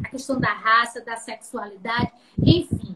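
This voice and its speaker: Her high voice moves at a fairly slow pace with fairly even intonation. Noticeable background noise comes through behind this woman. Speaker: professor. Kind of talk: lecture. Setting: video call.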